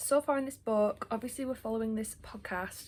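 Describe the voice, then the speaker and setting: Speaking at a very fast pace, a woman with an English accent has a fairly high pitch and ordinary pitch variation. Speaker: book vlogger. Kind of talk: casual vlog talk. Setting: at home. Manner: chatty, filler-heavy.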